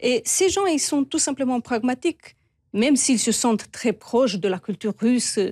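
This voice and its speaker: In a Romanian accent, a woman speaks high-pitched with a dark, mellow tone, lively intonation, very even loudness and a moderate pace, recorded dry and close with no echo in a very clean, silent setting. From Moldova. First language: Romanian (speaking French). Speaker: expert on Moldova. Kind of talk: TV interview.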